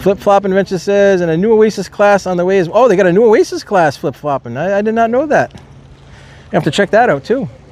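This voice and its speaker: A man's high-pitched voice with an American accent, very fast pace and lively intonation, amid noticeable background noise. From Rhode Island, US. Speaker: live streamer. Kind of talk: live stream chat commentary. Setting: outdoors at port. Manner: loud; casual, chatty.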